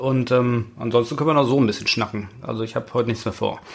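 Intonation fairly even, a man rattles off his words at a very fast pace. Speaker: toy investing expert. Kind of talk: casual chat. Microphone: new microphone.

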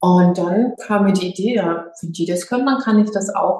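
Her pace is moderate. The woman speaks at a medium pitch. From Lower Franconia, Germany (Schweinfurt). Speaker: yoga teacher. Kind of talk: interview.

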